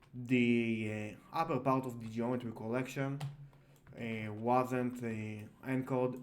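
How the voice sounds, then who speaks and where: A man speaks very slowly at a medium pitch with a non-native accent, and the room echo is audible. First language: not English. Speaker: software tutorial creator. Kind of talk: tutorial. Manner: halting, many fillers.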